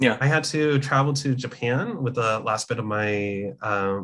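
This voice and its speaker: A man at medium pitch and a fairly slow pace, in a plain, everyday voice. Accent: General American. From California, US. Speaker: comics journalist. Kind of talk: casual interview.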